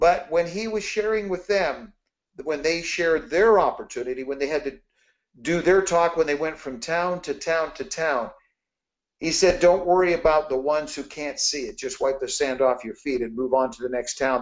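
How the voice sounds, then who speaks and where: A man with an unremarkable speaking voice talks at a moderate pace. His pitch is fairly high, with ordinary variation. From Canada. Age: 60s. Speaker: network marketing leader. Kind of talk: motivational business talk. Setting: conference call.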